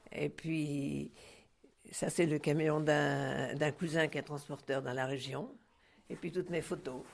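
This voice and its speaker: Her pitch very deep and low, a woman talks at a fairly slow pace with vocal fry. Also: very clean recording, silent background. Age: 80s+. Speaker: retired truck driver. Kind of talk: interview. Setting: at home. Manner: halting, with many repetitions.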